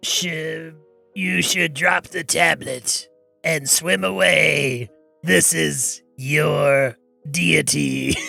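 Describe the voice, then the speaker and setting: Over faint music in the background, a man uses a raspy, put-on character voice at a medium pitch and a very slow pace. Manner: booming, commanding.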